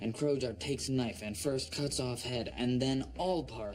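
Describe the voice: Someone reads a passage out loud. It is plain reading aloud.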